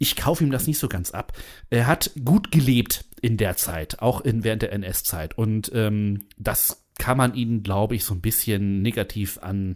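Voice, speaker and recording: A plain, everyday voice from a man, fairly low in pitch, at a fairly slow pace on a very clean recording with a silent background. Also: ordinary pitch variation. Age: 30s. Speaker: podcast host. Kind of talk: casual chat.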